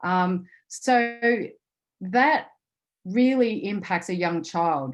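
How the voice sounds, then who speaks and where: Over a quiet background, a woman's intonation is lively. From Australia, rural Victoria. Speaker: intercountry adoptee advocate. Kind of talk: webinar panel talk.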